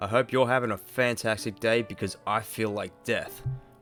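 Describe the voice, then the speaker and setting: There is music playing in the background. A man with an Australian accent speaks at a medium pitch. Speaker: hobby maker, miniature painter. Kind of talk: casual hobby tutorial talk to camera.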